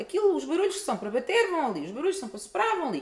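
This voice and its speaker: A woman with very wide pitch swings over noticeable background noise. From Portugal. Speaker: musicologist and opera singer. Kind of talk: interview.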